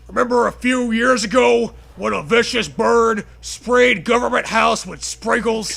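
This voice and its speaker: A put-on character voice moves at a moderate pace with hardly any pauses. Light background noise sits underneath. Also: man, extremely high pitch for a man. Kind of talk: comic overacting. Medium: read story. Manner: gruff, macho.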